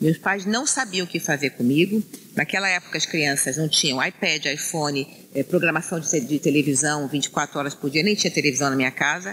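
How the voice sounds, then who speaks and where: At a fairly quick pace and with lively intonation, a woman with a very deep, low pitch speaks over noticeable background noise. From Rio de Janeiro, Brazil (Penha). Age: 60s. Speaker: city councillor, former bank executive. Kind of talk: casual interview chat.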